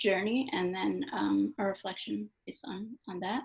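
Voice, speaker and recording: A soft-spoken woman talks at a fairly slow pace. Her pitch varies in an ordinary way. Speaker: poet. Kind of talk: interview at book launch. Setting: event with live audience.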